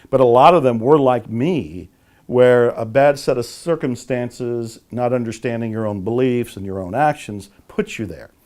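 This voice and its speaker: An unremarkable speaking voice with a General American accent moves at a moderate pace with ordinary pitch variation and big swings in loudness. The recording is very clean, with a silent background. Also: man, medium pitch for a man. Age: 60s. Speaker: author and motivational speaker. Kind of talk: interview.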